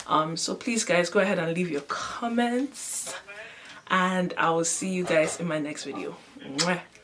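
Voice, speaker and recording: A woman speaks fairly slowly at a fairly low pitch, with lively intonation. Room echo is audible, and there is noticeable background noise. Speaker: vlogger. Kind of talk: vlog product demo. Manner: casual, chatty.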